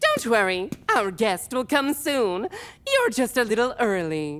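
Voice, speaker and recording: A put-on character voice, female-sounding, fairly high and sing-song, with a cheerful, theatrical tone. The pace is fairly slow. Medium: audio drama. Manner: eccentric sing-song inflection; exaggeratedly cheerful, theatrical.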